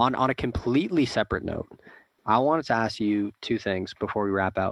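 This is a man with an ordinary speaking voice. His pitch varies an ordinary amount, and the background is quiet. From Canada. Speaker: podcast host. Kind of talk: casual chat.

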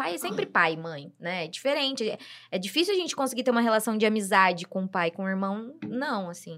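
Using an ordinary speaking voice, a woman talks fairly quickly at a medium pitch with lively intonation. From Brazil. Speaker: guest, host's sister. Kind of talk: casual chat.

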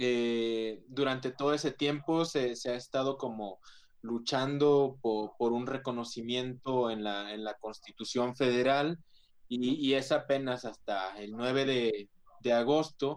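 A man's plain, everyday voice at medium pitch, with fairly even intonation and a fairly slow pace. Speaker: photographer and activist. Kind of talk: panel discussion. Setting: video call.

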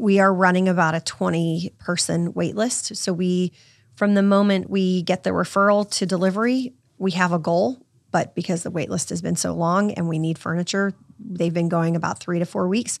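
In a very clean recording with a silent background, a woman with an American accent and a normal speaking voice talks at a moderate pace in a medium pitch with fairly even intonation. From Virginia Beach, Virginia. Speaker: charity founder. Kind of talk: interview.

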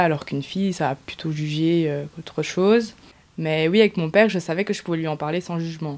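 Fairly low in pitch, a woman speaks at a moderate pace. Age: 20s. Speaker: testimony interviewee. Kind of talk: personal testimony. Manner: halting.

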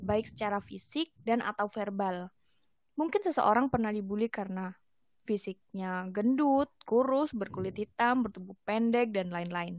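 Using a plain, everyday voice, the woman holds a moderate pace, her fairly high pitch varying in an ordinary way. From East Java, Indonesia. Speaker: university student and community volunteer. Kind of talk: casual podcast interview.

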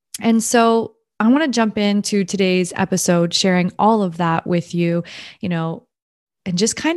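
In a Canadian accent, a woman with an unremarkable speaking voice talks at medium pitch and a fairly slow pace with ordinary pitch variation. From Ontario, Canada. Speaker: podcast host and mom coach. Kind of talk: solo podcast monologue.

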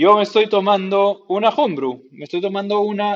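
A man speaks with a Peruvian accent. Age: 30s. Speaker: podcast host and homebrewer. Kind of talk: casual interview.

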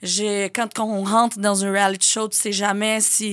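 In a Portuguese accent, a woman speaks at a medium pitch with monotone, flat intonation. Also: very clean recording, silent background. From Brazil. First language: Portuguese (speaking French). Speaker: influencer and reality TV personality. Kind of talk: casual interview.

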